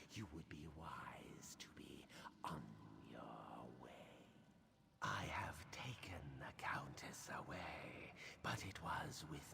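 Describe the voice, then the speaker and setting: In a put-on character voice, someone whispers at a very slow pace with a menacing tone. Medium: video game. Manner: menacing, measured.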